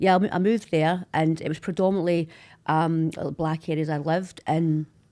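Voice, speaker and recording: A dark, mellow voice in a Glaswegian accent, fairly quick and monotone with flat intonation, on a very clean recording with a silent background. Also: woman, fairly low pitch for a woman. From Scotland, Glasgow. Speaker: social media personality. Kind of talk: podcast interview.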